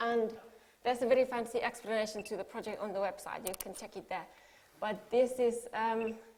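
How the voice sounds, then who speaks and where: A woman with a Finnish accent speaks at a fairly quick pace in a fairly high, monotone, flat voice. Her loudness swings widely. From Finland. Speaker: artist. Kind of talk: talk to an audience.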